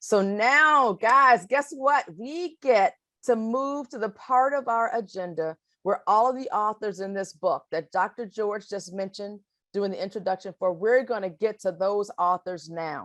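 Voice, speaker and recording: A woman with an American accent talks at a fairly slow pace and medium pitch. Her intonation is lively, and the background is quiet. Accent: Alabama, Ohio. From US South (Alabama) / Ohio. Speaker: webinar moderator. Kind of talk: event moderation.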